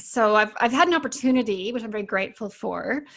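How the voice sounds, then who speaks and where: Speaking with a Canadian accent, a woman has a plain, everyday voice with ordinary pitch variation. She keeps a moderate pace over a quiet background. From Canada. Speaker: naturopathic doctor and author. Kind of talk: podcast interview.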